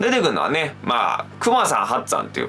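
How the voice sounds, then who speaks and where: A man's voice with noticeable background noise. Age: 20s. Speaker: rakugo storyteller. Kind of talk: casual explainer talk to camera.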